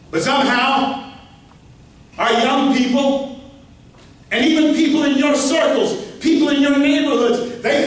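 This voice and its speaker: A man with an American accent speaks in an extremely high pitch. There is audible room echo and noticeable background noise. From Louisiana, Shreveport. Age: 60s. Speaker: pastor and political speaker. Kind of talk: political speech. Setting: meeting hall with audience. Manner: animated.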